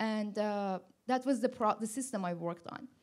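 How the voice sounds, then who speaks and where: A woman speaks with a non-native accent and a fairly high pitch, with ordinary pitch variation. The recording is very clean with a silent background. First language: not English. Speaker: machine learning director on a panel. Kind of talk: panel discussion. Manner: halting, with many restarts.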